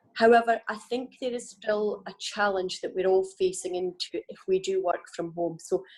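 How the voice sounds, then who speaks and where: With a Scottish accent, a woman of medium pitch talks at a moderate pace with fairly even intonation and hardly any pauses. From Scotland. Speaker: business panelist. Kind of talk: panel discussion.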